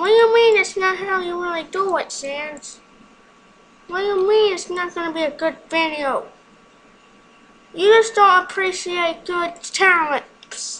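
In a put-on character voice of extremely high pitch, the speaker goes at a fairly slow pace with long, frequent pauses. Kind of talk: comic overacting. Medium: game stream. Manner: loud, boastful, excitable.

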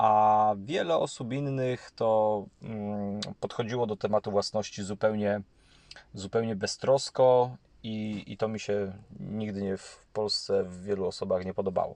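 Against a quiet background, a man with a fairly low pitch talks at a fairly slow pace, his intonation fairly even and his loudness swinging widely. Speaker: YouTube channel host on housing and property. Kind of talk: monologue commentary to camera. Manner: halting with frequent fillers and repetitions.

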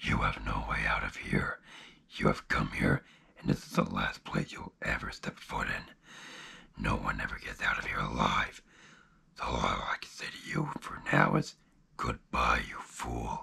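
A man puts on a raspy character voice and talks at a moderate pace. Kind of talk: character voice demo. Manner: menacing, taunting.

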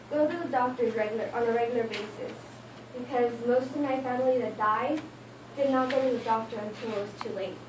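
Amid noticeable background noise and audible room echo, a woman with a high pitch talks at a fairly quick pace in fairly even intonation. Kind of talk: informative speech. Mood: earnest, somewhat nervous. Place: classroom. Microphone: camera far.

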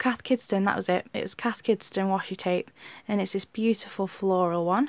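In a British accent, a woman speaks on a very clean recording with complete silence behind her. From UK. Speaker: YouTuber. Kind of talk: show-and-tell tutorial. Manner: casual, chatty with fillers.

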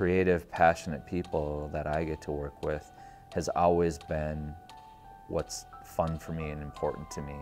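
A man's very deep, low voice over clear music in the background. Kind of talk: interview answer. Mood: warm, grateful, reflective. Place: studio. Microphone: lapel.

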